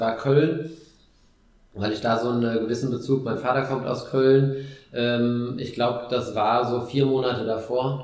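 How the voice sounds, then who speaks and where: The intonation is monotone and flat. Room echo can be heard. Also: man. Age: 30s. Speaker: amateur ultrarunner. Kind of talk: casual chat. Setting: living room at home. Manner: hesitant with many fillers.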